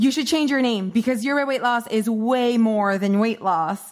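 A woman at a moderate pace with a fairly high pitch and ordinary pitch variation. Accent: French Canadian. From Canada. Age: 30s. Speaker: weight loss coach. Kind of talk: casual interview chat.

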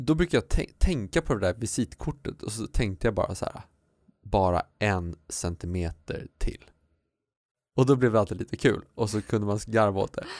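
Recorded very cleanly with a silent background and a dry, close sound with no echo, a man speaks at a moderate pace and fairly low pitch in a plain, everyday voice with lively intonation. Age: 40s. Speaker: podcast co-host. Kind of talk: casual chat.

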